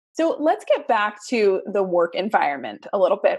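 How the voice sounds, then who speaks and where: A woman talks in an ordinary speaking voice. Her pitch is fairly high. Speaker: podcast host. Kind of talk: casual interview chat.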